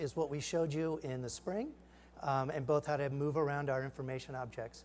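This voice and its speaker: At a moderate pace, a man speaks with fairly even intonation in a fairly high pitch. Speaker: startup founder giving a product demo; presenter. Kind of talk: live product demo. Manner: halting, many fillers. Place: stage.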